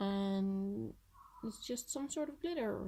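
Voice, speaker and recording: The tone is dark and mellow, somewhat breathy, with ordinary pitch variation. The pace is very slow. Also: woman. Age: 20s. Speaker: vlogger. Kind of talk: casual vlog. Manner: hesitant, with filler words.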